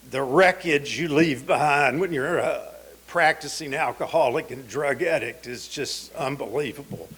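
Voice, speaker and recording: A man with a Southern US accent speaks at a fairly slow pace with a fairly high pitch. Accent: Southern US (Georgia). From US South, Georgia (Atlanta area). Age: 60s. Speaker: recovering addict speaker. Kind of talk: testimony.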